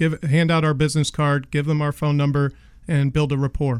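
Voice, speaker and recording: A normal speaking voice moves along at a fairly quick pace. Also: man. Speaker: garage door company owner. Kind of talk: radio interview. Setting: studio.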